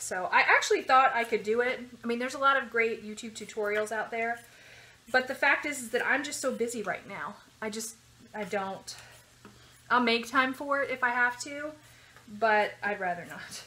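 Her high voice jumps widely in loudness, broken up by long, frequent pauses. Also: ordinary pitch variation, moderate pace. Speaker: home cook vlogger. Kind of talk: casual vlog chat. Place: kitchen. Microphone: phone near.

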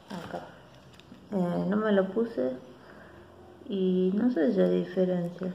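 Amid audible room echo and light background noise, a woman with a Rioplatense accent speaks at a very slow pace with ordinary pitch variation and long, frequent pauses. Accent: Argentine Rioplatense Spanish. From Argentina. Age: 40s. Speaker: beauty vlogger. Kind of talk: casual vlog monologue. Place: home room. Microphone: phone near.

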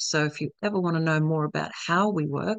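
A normal speaking voice at a fairly quick pace, with ordinary pitch variation and a dry sound with no echo over a quiet background. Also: woman. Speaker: event host for a network. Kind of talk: webinar presentation. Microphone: video call.

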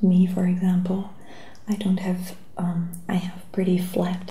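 Soft-spoken and gentle in tone, a woman talks at a very slow pace, with audible room echo. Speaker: shoe seller. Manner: soft-spoken, gentle ASMR voice. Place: home room. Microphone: webcam.

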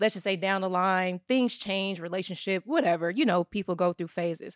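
A woman talks at a moderate pace against a quiet background. The sound is dry, with no echo. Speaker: podcast co-host. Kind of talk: podcast discussion. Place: studio. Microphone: studio mic.

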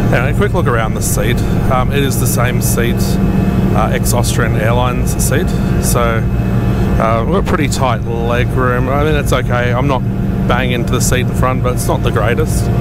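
Over music in the background, a man speaks at a moderate pace, and the sound is dry with no echo. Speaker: travel vlogger. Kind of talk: casual vlog chat. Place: plane. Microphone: handheld.

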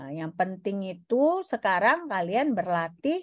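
With very wide pitch swings, a woman of medium pitch talks at a very slow pace against a quiet background. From Indonesia. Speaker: university lecturer. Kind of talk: lecture. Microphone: video call.

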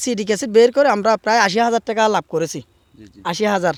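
A man's high-pitched voice comes through with a dry, close sound and no echo. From Chittagong, Bangladesh (Satkania). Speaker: local actor and media figure. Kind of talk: interview.

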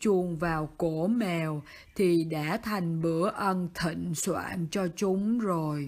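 Speaking at a very slow pace, a woman with a fairly low pitch and a dark, mellow tone uses ordinary pitch variation in a very clean recording with a silent background. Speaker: amateur narrator. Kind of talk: children's bedtime story reading. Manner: motherly.

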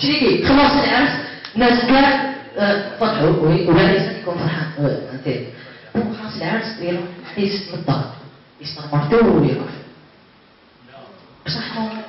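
A man's high-pitched voice with very wide pitch swings and an Algerian accent, at a moderate pace with long, frequent pauses, in strong room echo with light background noise. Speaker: YouTuber, stand-up comedian. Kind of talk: stand-up comedy set. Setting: live event hall with echo. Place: hall.

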